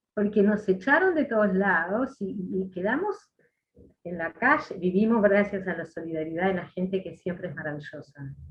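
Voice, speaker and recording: A woman's medium-pitched voice in a Uruguayan accent, with lively intonation at a moderate pace. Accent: Uruguayan Spanish (rioplatense). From Uruguay, Treinta y Tres. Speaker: former political prisoner. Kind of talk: interview testimony.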